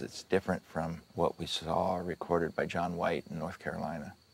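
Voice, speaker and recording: Very deep and low, this man's voice carries vocal fry and fairly even intonation. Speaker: film production designer. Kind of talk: behind-the-scenes interview. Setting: outdoors on film set.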